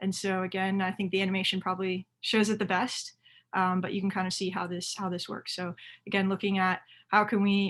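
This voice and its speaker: Monotone, flat intonation at a fairly quick pace. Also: woman, medium pitch for a woman. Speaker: youth soccer coach. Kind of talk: webinar presentation. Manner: fast.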